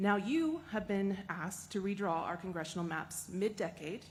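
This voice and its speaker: This woman has an American accent and a somewhat breathy voice. Her pitch is medium, with ordinary variation. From Texas. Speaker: member of the public testifying. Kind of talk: public testimony. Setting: public hearing room.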